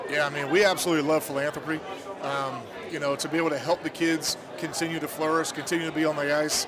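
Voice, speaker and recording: Delivered at a very fast pace in a monotone, flat intonation, the speech carries audible room echo and noticeable background noise. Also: man, fairly high pitch for a man. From Louisiana. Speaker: business owner and hockey parent. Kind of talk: casual interview. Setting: live event at ice rink.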